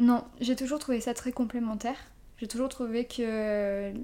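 A woman speaks at a fairly high pitch in a monotone, with a dark, mellow tone and flat intonation. The recording is very clean, with a silent background. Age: 20s. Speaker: ASMR YouTuber and intensive care nurse. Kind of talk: casual interview.

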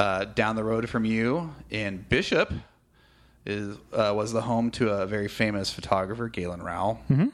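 In an American accent, a man with an ordinary speaking voice talks at a moderate pace, his fairly low pitch showing ordinary variation. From California. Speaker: podcast host. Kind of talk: interview conversation. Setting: studio.

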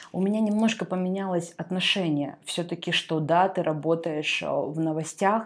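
Against a quiet background, a woman with a plain, everyday voice speaks at a moderate pace, with fairly even intonation and fairly low pitch. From Russian Far East, Artyom (Primorsky Krai). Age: 20s. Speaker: media expert and magazine editor. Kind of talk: podcast interview.

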